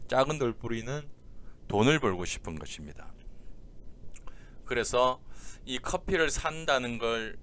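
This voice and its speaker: Audible room echo surrounds a man who talks at a fairly slow pace with very wide pitch swings. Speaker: exam prep lecturer. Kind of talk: lecture. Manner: slowed down deliberately.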